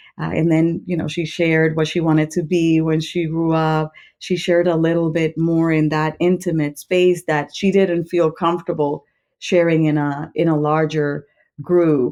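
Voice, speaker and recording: Someone with a Spanish accent speaks at a moderate pace in a dark, mellow tone with monotone, flat intonation, over a quiet background. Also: woman, fairly low pitch for a woman. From Puerto Rico. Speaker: school administrator, former principal. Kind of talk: podcast interview. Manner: hesitant, with fillers.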